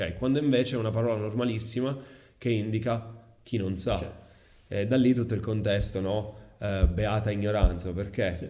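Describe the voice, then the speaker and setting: The delivery is fairly quick, with fairly even intonation and a dark, mellow tone. Room echo is audible in the recording. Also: man, fairly low pitch for a man. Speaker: English teacher and content creator. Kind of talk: casual interview.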